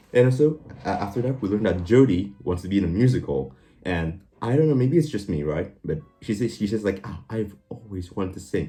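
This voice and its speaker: Music plays in the background while a man with a fairly low pitch speaks at a very fast pace in an animated tone. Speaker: youtuber movie reviewer. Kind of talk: casual movie summary rant.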